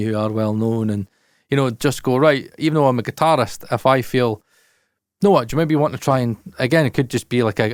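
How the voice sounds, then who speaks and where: With a Scottish accent, a man speaks at a fairly quick pace. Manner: stumbling, repeats words.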